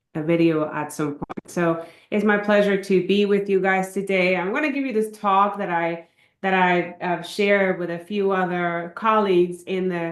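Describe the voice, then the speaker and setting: A woman with a medium pitch and fairly even intonation speaks amid audible room echo. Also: moderate pace. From Puerto Rico. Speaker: cancer epidemiologist, professor. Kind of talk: lecture. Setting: video call.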